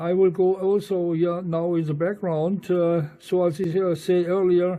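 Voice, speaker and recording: Speaking with a German accent, a man talks high for his sex at a fairly slow pace, in a monotone, flat intonation. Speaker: amateur radio operator. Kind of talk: radio contact conversation. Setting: satellite radio link. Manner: halting, many fillers.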